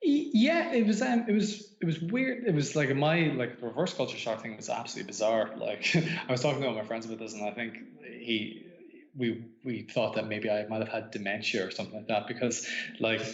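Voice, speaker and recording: With an Irish accent, a man talks at a fairly quick pace and medium pitch, his intonation lively, amid audible room echo and noticeable background noise. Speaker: author. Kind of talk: casual chat. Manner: halting.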